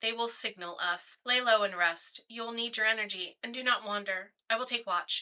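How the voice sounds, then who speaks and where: A put-on character voice with a sing-song lilt. It moves at a moderate pace. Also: woman, fairly high pitch for a woman. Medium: read story. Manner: formal, measured, no contractions.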